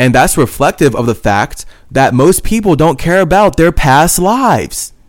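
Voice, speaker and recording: A man with a fairly high pitch and vocal fry speaks at a fairly slow pace in an animated tone, his pitch swinging very widely. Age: 20s. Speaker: spiritual podcast host. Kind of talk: monologue.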